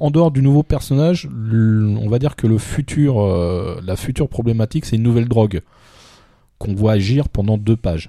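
In a very clean recording with a silent background, a man with a dark, mellow tone and medium pitch speaks with lively intonation. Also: moderate pace. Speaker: podcast co-host reviewing manga. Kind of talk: casual review chat.

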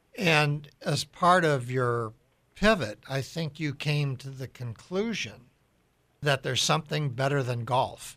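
The voice has a bright, sharp tone, ordinary pitch variation and a fairly slow pace on a very clean recording with a silent background. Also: man, fairly high pitch for a man. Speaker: radio host. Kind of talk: interview.

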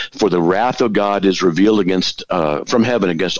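A man with a very deep, low pitch talks at a fairly quick pace. Noticeable background noise is present. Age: 60s. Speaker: apologist. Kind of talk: casual chat.

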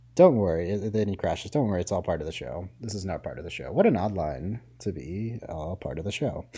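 Against a quiet background, a man with a fairly low pitch and a dark, mellow, somewhat breathy tone talks at a fairly quick pace with hardly any pauses, lively intonation and big swings in loudness. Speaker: podcast host. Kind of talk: casual podcast chat about a show. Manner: laughs often, banter.

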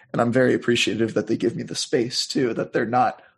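A man with an American accent speaks at a medium pitch and a fairly quick pace. His voice has a slightly husky edge and fairly even intonation.

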